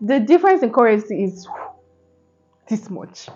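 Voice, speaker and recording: At a moderate pace, a woman talks in a fairly high voice with lively intonation. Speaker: student vlogger. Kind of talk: casual vlog talk to camera. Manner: halting, stumbling over words.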